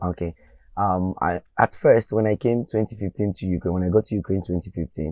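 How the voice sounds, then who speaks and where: A man with a Nigerian accent talks in a very deep, low pitch. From Nigeria, Ogun State. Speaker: medical student. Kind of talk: interview testimony.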